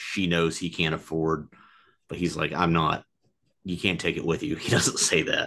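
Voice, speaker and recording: Speaking in a flat monotone at a moderate pace, a man with an American accent has a very deep, low pitch and a bright, sharp tone. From United States. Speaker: film podcast co-host and comedian; film podcast co-host, comedian. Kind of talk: casual chat. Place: home room. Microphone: webcam.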